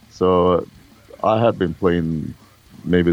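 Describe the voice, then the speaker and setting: A man's very deep, low voice in a Swedish accent, very slow in pace, with ordinary pitch variation. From Sweden. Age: 50s. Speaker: metal musician. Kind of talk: interview.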